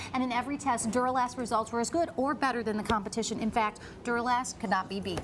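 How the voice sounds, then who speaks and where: A woman's high voice at a very fast pace, with music in the background. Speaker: TV host. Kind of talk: live home shopping TV pitch.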